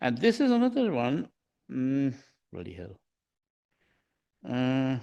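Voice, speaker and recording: The speaker talks at a very slow pace with a Bengali accent over a quiet background. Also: man. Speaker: humanist society member sharing music. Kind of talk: informal presentation to a group.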